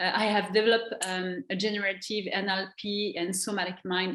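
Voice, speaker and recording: Someone with a French accent talks at a moderate pace. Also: woman. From France. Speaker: NLP trainer and coach. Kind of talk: interview. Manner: halting.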